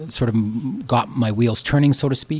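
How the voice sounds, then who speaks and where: A man speaks with a Canadian accent at a medium pitch and ordinary pitch variation. It is an ordinary speaking voice. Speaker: community storytelling project founder. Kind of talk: radio interview.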